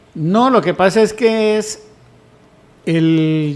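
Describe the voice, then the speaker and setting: A man's high-pitched voice at a very slow pace. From Colombia, Huila (Yaguará). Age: 60s. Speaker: news panelist.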